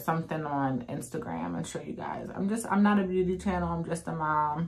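A woman's fairly low-pitched voice. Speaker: mom vlogger. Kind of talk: casual vlog chat while doing makeup. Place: home room.

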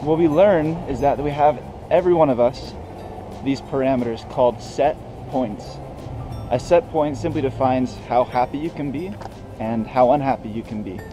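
A man speaks at a moderate pace with ordinary pitch variation. His long pauses come often, with music playing in the background. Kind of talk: explanatory vlog commentary. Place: street. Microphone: phone near.

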